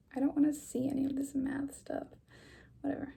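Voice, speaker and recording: A woman is speaking. She is soft-spoken. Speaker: ASMR creator. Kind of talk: ASMR what's-in-my-bag chat to camera. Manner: soft-spoken, casual.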